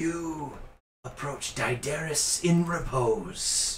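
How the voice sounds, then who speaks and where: Putting on a character voice, a man with fairly high pitch talks at a very slow pace, with slight echo. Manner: solemn, ominous.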